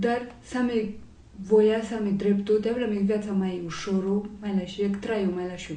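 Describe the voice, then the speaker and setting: A woman speaks at a very slow pace in monotone, flat intonation. Audible room echo fills the space. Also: medium pitch for a woman. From Romania, raised partly in France. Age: 20s. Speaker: law student and activist. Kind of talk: interview testimony. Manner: hesitant, many fillers.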